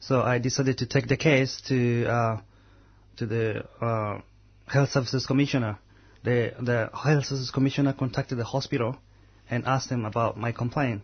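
A man's medium-pitched, somewhat breathy voice, fairly quick in pace, with monotone, flat intonation and long, frequent pauses. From Uganda. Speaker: anti-racism activist. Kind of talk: radio interview. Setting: studio.

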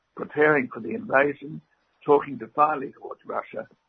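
Here a man speaks with an Australian accent. His pitch is fairly high, with ordinary variation. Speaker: former diplomat. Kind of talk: interview.

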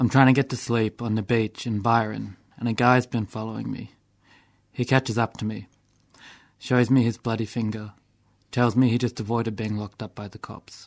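Against a quiet background, a man with an Australian accent speaks in a flat monotone, with long, frequent pauses and big swings in loudness. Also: medium pitch for a man, moderate pace. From Melbourne, Australia. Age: 20s. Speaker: person with experience of homelessness, poet. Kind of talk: radio interview; poetry reading. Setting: radio studio.

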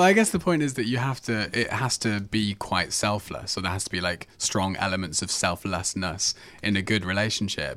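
Delivered at a fairly quick pace with hardly any pauses, this is a plain, everyday voice with ordinary pitch variation. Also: man, fairly low pitch for a man. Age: young. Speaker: community radio host. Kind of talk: casual chat.

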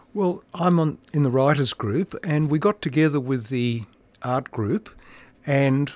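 Speaking at a fairly slow pace with an Australian accent, a man uses a fairly high pitch and ordinary pitch variation, recorded with a dry, close sound and no echo. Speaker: amateur writer. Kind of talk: interview. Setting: studio.

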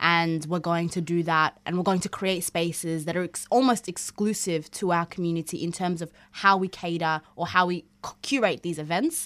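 A woman with an ordinary speaking voice talks at a moderate pace in a fairly low pitch with fairly even intonation. The recording is very clean, with a silent background. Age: young. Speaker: community organisation co-founder. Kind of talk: radio interview. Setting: radio studio.

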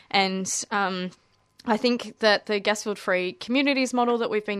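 With an Australian accent, a woman talks at a fairly quick pace against a quiet background. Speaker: environmental campaigner. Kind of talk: radio interview. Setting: radio studio.

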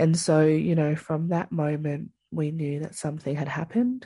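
With an Australian accent, a woman speaks at a moderate pace in a very deep, low pitch, with a dark, mellow tone and fairly even intonation against a quiet background. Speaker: First Nations justice campaigner. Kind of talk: interview.

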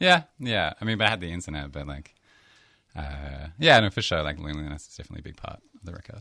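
A man with an American accent, a very deep, low voice and a bright, sharp tone, talking very fast with ordinary pitch variation and big swings in loudness. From Blue Mountains, Sydney, Australia. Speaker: musician and rapper. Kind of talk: casual studio interview. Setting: studio. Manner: chilled, rambling, hesitant.

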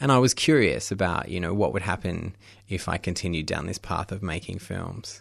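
A man's very deep, low voice in an Australian accent, at a moderate pace with lively intonation over a quiet background. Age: 30s. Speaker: documentary filmmaker. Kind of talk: interview.

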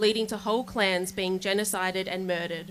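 In an Australian accent, a woman talks at a moderate pace. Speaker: rally speaker reading a statement. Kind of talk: rally speech read aloud. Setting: outdoor protest rally.

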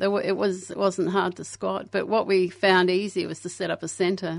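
A woman talks in an Australian accent. Vocal fry runs through her voice. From Australia (Brisbane, Queensland), born in England to Irish parents. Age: 60s. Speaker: anarchist activist. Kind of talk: casual interview chat. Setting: radio studio.

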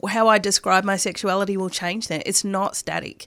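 Medium-pitched, a woman speaks in an Australian accent at a moderate pace. The recording is very clean, its background silent. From Melbourne, Australia. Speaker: radio presenter. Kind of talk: casual interview chat. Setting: radio studio.

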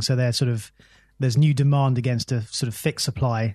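A man speaks at a fairly quick pace in a medium, somewhat breathy voice. His intonation stays monotone and flat over a quiet background. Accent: British. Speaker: economic cycles analyst. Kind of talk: radio interview. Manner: halting.

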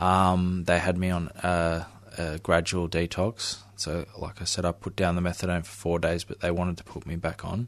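A man with an Australian accent speaks at a very deep, low pitch in a flat monotone. The background is quiet. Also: moderate pace. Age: 20s. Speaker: recovering addict. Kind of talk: interview testimony. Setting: radio studio.

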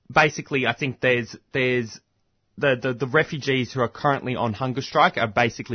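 Here a man talks at a very fast pace with an Australian accent. His voice sits at a medium pitch. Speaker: community radio presenter. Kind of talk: radio interview. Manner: halting, heavy use of fillers.

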